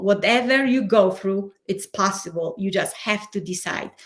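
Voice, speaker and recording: Speaking with a Polish accent, a woman talks at a fairly slow pace with ordinary pitch variation. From Poland. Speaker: change and transition coach. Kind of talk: interview.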